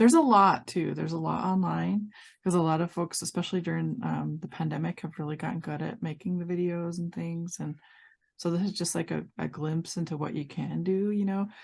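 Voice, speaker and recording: A woman talks at a fairly quick pace over a quiet background. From Montana. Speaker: workshop instructor. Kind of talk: online workshop teaching. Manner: fast; drops word endings.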